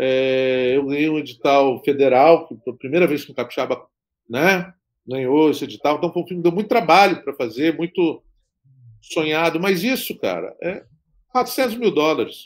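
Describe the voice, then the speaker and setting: An unremarkable speaking voice comes over a quiet background at a moderate pace. Its intonation is lively, with big swings in loudness. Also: man, fairly high pitch for a man. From Espírito Santo, Brazil (Guarapari); Espírito Santo, Brazil. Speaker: film director; interviewee. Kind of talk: interview. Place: home room.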